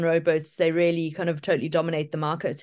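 Against a quiet background, a woman with a fairly low pitch speaks at a fairly quick pace. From South Africa. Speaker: ocean rower. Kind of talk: interview.

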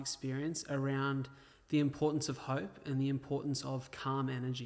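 A man with an Australian accent, fairly high in pitch, at a moderate pace with monotone, flat intonation. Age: 20s. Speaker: podcast host. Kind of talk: interview.

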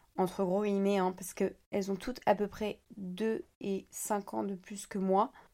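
A woman's dark, mellow, medium-pitched voice, monotone and flat, at a fairly slow pace with hardly any pauses, on a very clean recording with a silent background. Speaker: podcaster and social media creator. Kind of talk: personal monologue.

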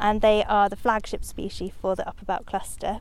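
A woman talks at a fairly quick pace, fairly high in pitch. It is an ordinary speaking voice. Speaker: conservation officer. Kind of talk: interview. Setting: outdoors.

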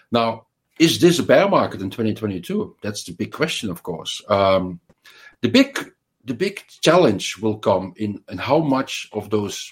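A man speaks in a plain, everyday voice, fairly low and at a fairly slow pace. The recording is very clean with a silent background. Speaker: financial research analyst. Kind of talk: casual interview.

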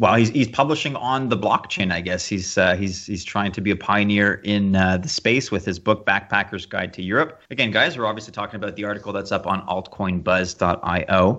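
A man's plain, everyday voice at fairly low pitch, with ordinary pitch variation and hardly any pauses. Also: fairly quick pace. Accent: Canadian. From Canada. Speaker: podcast co-host. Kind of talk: casual chat.

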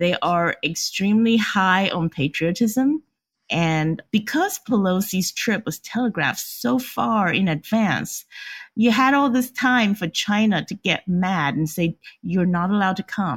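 This woman talks at a fairly slow pace with lively intonation and a somewhat breathy voice. The sound is dry and close, with no echo. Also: medium pitch for a woman. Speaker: Taiwan analyst. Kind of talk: expert interview.

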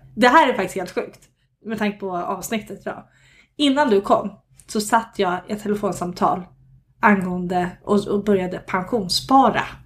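In a very clean recording with a silent background, a woman speaks at a moderate pace in a somewhat breathy voice with ordinary pitch variation. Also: medium pitch for a woman. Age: 30s. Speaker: podcast host. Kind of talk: casual chat. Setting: recording at home.

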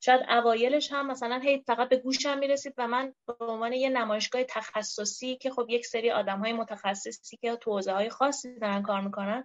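Recorded dry and close with no echo, a woman speaks high and fairly quickly with fairly even intonation and hardly any pauses. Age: 20s. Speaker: speech therapist and researcher. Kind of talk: interview.

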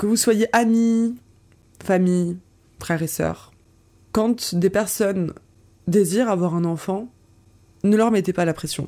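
Woman's dark, mellow voice at a fairly slow pace with lively intonation. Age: 20s. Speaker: therapist and podcast host. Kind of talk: personal monologue podcast.

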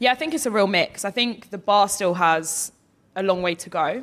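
Very cleanly recorded over a silent background, a woman with an Essex accent speaks with ordinary pitch variation. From Essex, England. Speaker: barrister and author. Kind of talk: live interview. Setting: festival stage with audience.

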